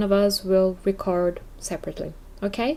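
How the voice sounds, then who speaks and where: A woman's voice with a non-native accent and ordinary pitch variation. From Brazil. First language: Portuguese. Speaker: podcast host and English teacher. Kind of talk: casual podcast monologue.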